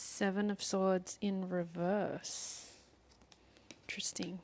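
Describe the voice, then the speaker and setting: Whispering, a woman speaks at a very slow pace. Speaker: tarot reader. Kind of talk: tarot reading. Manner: soft-spoken.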